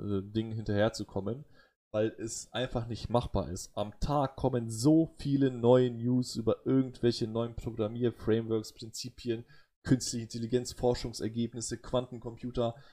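With a dark, mellow tone and fairly even intonation, a man speaks on a very clean recording with a silent background. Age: 30s. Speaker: podcast host, computer scientist. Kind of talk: casual chat. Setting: live stream.

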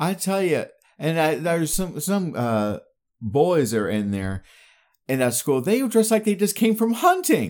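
A man talks at a moderate pace in a high, animated voice with very wide pitch swings. The recording is very clean, with a silent background. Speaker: podcast host. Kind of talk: casual chat podcast banter. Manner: joking, animated.

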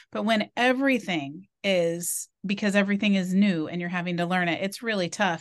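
A woman with an ordinary speaking voice talks at a moderate pace and medium pitch, with ordinary pitch variation, hardly any pauses and a quiet background. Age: 50s. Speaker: podcast host. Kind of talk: casual chat.

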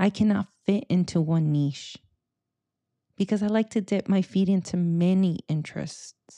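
A woman's medium-pitched voice with a dark, mellow tone, ordinary pitch variation and a fairly slow pace, in a dry, close sound with no echo. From US West Coast, Silicon Valley, Mexican-American. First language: Spanish. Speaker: podcast host. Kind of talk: personal monologue.

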